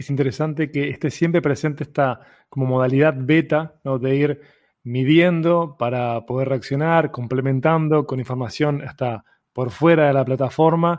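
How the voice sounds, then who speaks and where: In a very clean recording with a silent background, a man with a Uruguayan accent speaks in a fairly high voice. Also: fairly even intonation, moderate pace. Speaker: podcast host. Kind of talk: interview.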